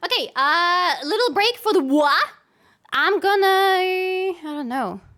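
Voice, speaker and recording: A woman uses a raised, projected voice. Her pitch swings very widely. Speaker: streamer. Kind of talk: live game stream chat. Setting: live stream. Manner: casual, animated.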